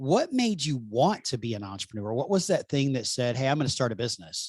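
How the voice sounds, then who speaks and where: Speaking very fast in a Southern US accent, this man has a medium pitch and very wide pitch swings. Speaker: podcast host. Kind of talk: interview conversation.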